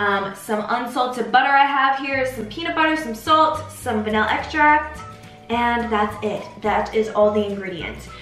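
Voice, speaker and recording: Faint music plays in the background while a woman speaks at a moderate pace with ordinary pitch variation, her voice carrying audible room echo. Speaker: home baking host. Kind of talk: tutorial. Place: kitchen. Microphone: camera far.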